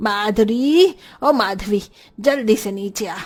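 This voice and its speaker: Using a put-on character voice, the woman pitches it fairly high. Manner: shouting loudly, calling out.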